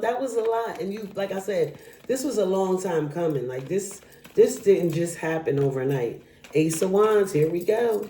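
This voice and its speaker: Moderate pace against noticeable background noise. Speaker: tarot reader. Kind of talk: tarot reading monologue. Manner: animated.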